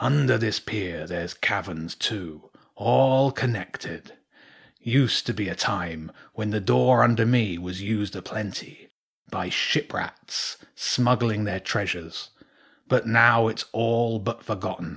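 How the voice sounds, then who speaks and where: Using a put-on character voice, a man speaks with fairly low pitch, lively intonation and a fairly slow pace on a very clean recording with a silent background. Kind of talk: bedtime story. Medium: read story. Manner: gruff, terse, unhurried.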